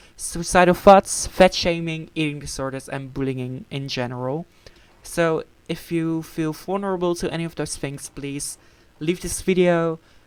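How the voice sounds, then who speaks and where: A woman speaks at a moderate pace in a fairly low voice. Her loudness swings widely. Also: ordinary pitch variation. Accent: Dutch. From Netherlands. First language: Dutch. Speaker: gaming channel member. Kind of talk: casual chat. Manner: halting, many fillers.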